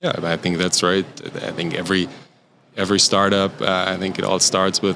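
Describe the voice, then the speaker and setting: A man with a German accent and a very deep, low pitch speaks at a fairly quick pace in a monotone, flat intonation, his tone bright and sharp. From Germany. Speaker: startup founder and CEO. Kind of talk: podcast interview. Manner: halting, many fillers.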